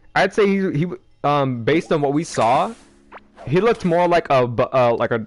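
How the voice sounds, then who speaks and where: Lively intonation from a man with music in the background. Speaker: gaming streamer. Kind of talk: live gameplay stream chat. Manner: fast; hesitant, many fillers.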